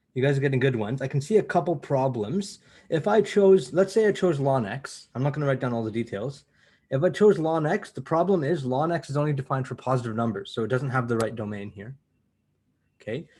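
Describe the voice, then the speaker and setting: A man talks at a very fast pace with lively intonation. His voice is fairly high-pitched and somewhat breathy. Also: quiet background. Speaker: university math lecturer. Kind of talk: lecture. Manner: animated.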